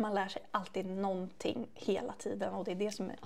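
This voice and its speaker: A woman with an unremarkable speaking voice speaks at a moderate pace in a medium pitch, her intonation fairly even. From Sweden, Västervik. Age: 30s. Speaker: beauty podcast co-host, beauty shop worker. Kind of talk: casual chat.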